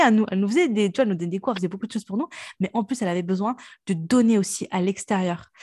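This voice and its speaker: In a dry, close sound with no echo and a quiet background, a woman speaks very fast in a somewhat breathy, dark, mellow tone at medium pitch with ordinary pitch variation. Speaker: podcast host. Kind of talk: casual chat. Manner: talkative.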